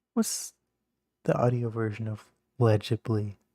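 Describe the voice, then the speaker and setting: The man's medium-pitched voice has a dark, mellow tone and is somewhat breathy. The sound is dry and close with no echo. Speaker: youtuber. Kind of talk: casual monologue. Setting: home, late night. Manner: rambling, halting. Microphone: may be a little quiet.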